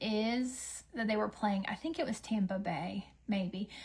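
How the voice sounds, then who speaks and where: A woman with a Southern US accent, somewhat breathy and animated in tone, at a fairly slow pace with ordinary pitch variation. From US South. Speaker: beauty livestreamer. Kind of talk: casual chat. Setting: livestream with ring light.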